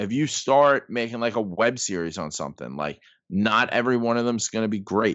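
A man with an American accent speaks in an unremarkable speaking voice at medium pitch, with lively intonation and a fairly quick pace. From New York, the Bronx. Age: 30s. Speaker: sports blogger and comedian. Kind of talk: casual chat.

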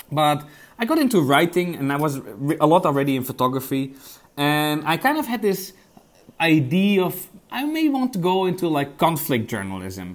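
The recording is very clean, with a silent background. A man with a Dutch accent talks at a moderate pace, his pitch swinging very widely. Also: fairly high pitch for a man. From Netherlands. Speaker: investigative journalist. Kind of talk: interview. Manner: hesitant, many repetitions.

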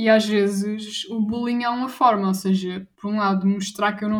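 A woman with a medium pitch and a somewhat breathy voice talks at a moderate pace with fairly even intonation. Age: 20s. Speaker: anti-bullying association president. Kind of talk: interview.

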